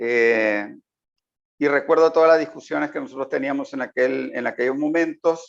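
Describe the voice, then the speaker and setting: With a slight South American accent, a man talks at a moderate pace in a fairly high voice with ordinary pitch variation. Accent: slight South American lilt. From Uruguay, then Nicaragua from youth. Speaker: political analyst. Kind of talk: interview.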